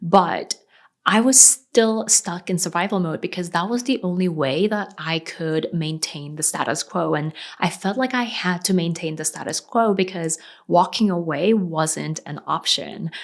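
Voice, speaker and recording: On a very clean recording with a silent background, a woman with an American accent has an ordinary speaking voice, pitched fairly low, with ordinary pitch variation at a fairly slow pace. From South Korea, raised partly in Sri Lanka. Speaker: freelance web designer and business coach. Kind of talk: personal story video.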